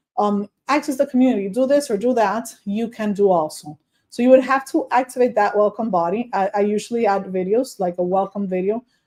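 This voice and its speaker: Fairly quick speech from a woman with a Spanish accent, a dark, mellow tone, fairly high pitch and ordinary pitch variation. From Dominican Republic. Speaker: online course coach. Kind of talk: tutorial. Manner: casual.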